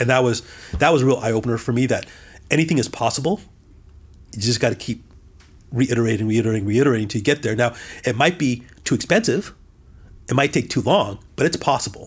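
A man with an American accent talks at a very fast pace, broken by long, frequent pauses. His voice is medium in pitch and somewhat breathy, with ordinary pitch variation. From Southern California. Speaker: CEO and business leader. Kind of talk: interview.

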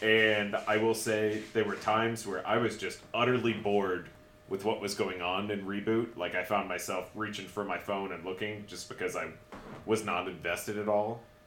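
The delivery is monotone, with flat intonation, at a moderate pace. Noticeable background noise can be heard. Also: man, fairly low pitch for a man. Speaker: podcast co-host. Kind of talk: casual chat.

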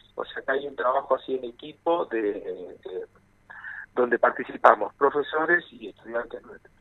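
A man's loudness rises and drops sharply as he talks at a middling pace. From Buenos Aires province, Argentina (Vicente López). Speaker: percussionist and music teacher. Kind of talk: interview. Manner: halting.

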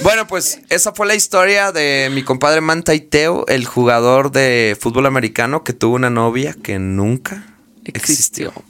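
Animated in tone, a man speaks at a moderate pace. His pitch swings very widely. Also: fairly high pitch for a man. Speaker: podcast host. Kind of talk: casual storytelling chat.

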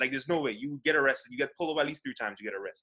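Bright and sharp in tone, a man's fairly high voice moves with lively intonation. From Saint Lucia. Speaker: podcast panelist. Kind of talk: casual chat.

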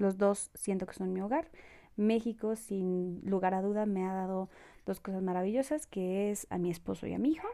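At a moderate pace, a woman of medium pitch speaks with fairly even intonation and a dark, mellow tone. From Mexico. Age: 20s. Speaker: podcast host. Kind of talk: solo casual monologue. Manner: halting, many fillers and repetitions.

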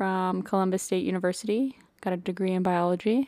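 A woman speaks with a Texan accent. Her pitch sits in the medium range. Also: very clean recording, silent background. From Central Texas. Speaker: podcast co-host, medical student. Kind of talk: casual chat.

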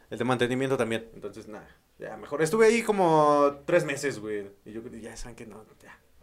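Here is a man with an ordinary speaking voice at medium pitch, talking at a fairly quick pace. His intonation is lively and his loudness swings widely. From Mexico, Tlaxcala. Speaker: podcast co-host. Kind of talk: casual chat.

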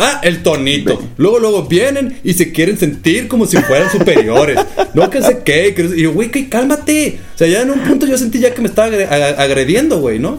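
A man's high-pitched voice with a slight northern Mexican accent, very wide pitch swings and hardly any pauses, over noticeable background noise. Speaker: podcast host. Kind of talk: casual chat. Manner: fast.

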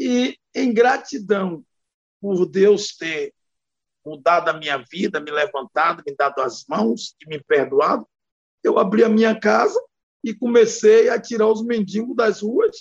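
At a very slow pace, a man with a high pitch speaks in a dry, close sound with no echo. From Bahia, Brazil. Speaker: federal deputy and pastor. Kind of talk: interview. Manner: animated.

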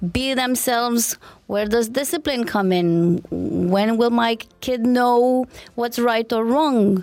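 The speaker has a Romanian accent and a very slow pace. Pitch variation is ordinary and loudness very even. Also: woman, fairly high pitch for a woman. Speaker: parenting expert and co-host. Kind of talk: podcast interview discussion.

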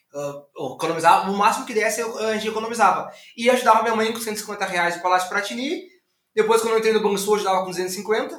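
A man talks at a very fast pace with a high pitch and ordinary variation. Room echo is audible. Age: 30s. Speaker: entrepreneur. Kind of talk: interview.

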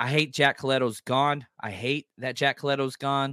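In an American accent, the voice comes across bright and sharp with an animated tone, recorded very cleanly with a silent background and a dry, close sound with no echo. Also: man. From US South. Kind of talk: casual chat.

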